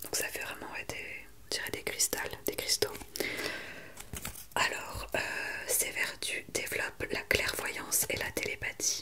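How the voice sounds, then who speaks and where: A woman whispers at a very slow pace, leaving long, frequent pauses. There is noticeable background noise. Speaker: ASMR creator. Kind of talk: casual talk to camera, ASMR update.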